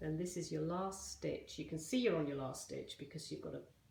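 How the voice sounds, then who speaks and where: Some audible echo from the room hangs around speech whose intonation is fairly level. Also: woman. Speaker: crochet teacher. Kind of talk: tutorial. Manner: slow.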